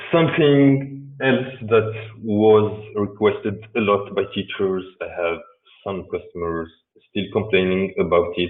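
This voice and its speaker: Ordinary pitch variation marks this man's fairly low voice. He speaks at a fairly slow pace. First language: Arabic. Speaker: software developer presenter. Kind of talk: technical presentation. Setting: remote video talk. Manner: halting, many repetitions and fillers.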